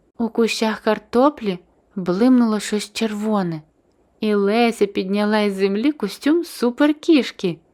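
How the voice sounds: Ordinary pitch variation marks a natural reading voice.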